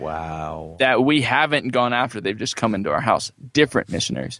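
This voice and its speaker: Quick-paced and lively in intonation, a man with an American accent speaks at medium pitch with vocal fry. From California. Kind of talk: interview.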